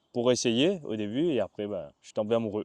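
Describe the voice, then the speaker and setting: Moderate pace from a man of medium pitch with a dark, mellow tone, in a dry, close sound with no echo. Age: 30s. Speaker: kickboxing and Muay Thai fighter. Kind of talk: interview. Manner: hesitant, many fillers.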